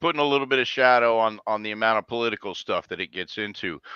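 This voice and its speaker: A loud man speaks at a fairly quick pace with a bright, sharp tone, the sound dry and close with no echo over a quiet background. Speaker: guest commentator. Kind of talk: casual live-stream chat. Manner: loud, voice carries.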